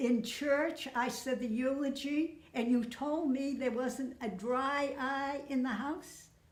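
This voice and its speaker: High pitch from a woman, with audible room echo. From Massachusetts (Lawrence, Merrimack Valley). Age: 80s+. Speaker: interviewee recounting family memories. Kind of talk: casual storytelling interview. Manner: halting, with false starts.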